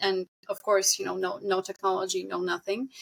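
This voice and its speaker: With a non-native accent, the speaker delivers a monotone, flat intonation at a fairly slow pace in a dry, close sound with no echo. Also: woman. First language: not English. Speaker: singer and game vocalist. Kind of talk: casual chat.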